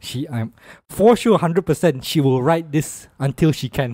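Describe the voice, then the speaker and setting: In a Malaysian accent, a man talks at a fairly slow pace and a fairly high pitch, his intonation lively. The background is quiet. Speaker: podcast co-host. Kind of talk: casual chat. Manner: animated. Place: studio. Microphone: studio mic.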